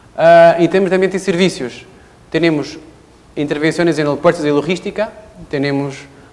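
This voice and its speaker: A man with a Portuguese accent talks at a fairly quick pace over noticeable background noise. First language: Portuguese (speaking Spanish). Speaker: engineer, company representative. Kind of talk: technical presentation. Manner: halting, many fillers.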